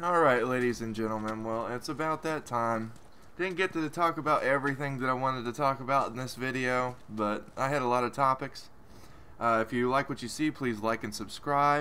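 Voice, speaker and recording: This man has an American accent and a bright, sharp tone. His pitch is medium, with ordinary variation. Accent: Southern drawl when excited. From West Virginia. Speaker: gaming YouTuber. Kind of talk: let's play commentary. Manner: halting.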